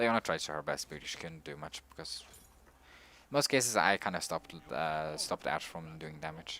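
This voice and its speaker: A fairly quick pace drives the speech. The voice is bright and sharp, with ordinary pitch variation. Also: man. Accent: non-native. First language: not English. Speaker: gaming streamer. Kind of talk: gameplay commentary. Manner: halting.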